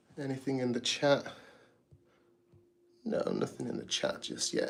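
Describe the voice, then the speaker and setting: A man talks in a calm, relaxed tone. He has a British accent. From UK. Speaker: artist and drummer, channel owner. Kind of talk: live stream art commentary. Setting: home art studio, live stream.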